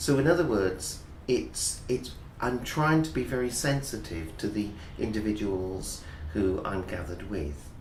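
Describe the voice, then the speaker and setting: A man with an English accent, fairly low-pitched, at a fairly slow pace, with very wide pitch swings and audible room echo. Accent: BBC-type English. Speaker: English teacher. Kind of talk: interview. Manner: clear.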